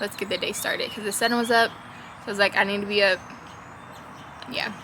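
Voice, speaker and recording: Noticeable background noise sits behind a woman speaking at medium pitch. Her intonation is monotone and flat. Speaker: vlogger. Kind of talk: casual vlog chat.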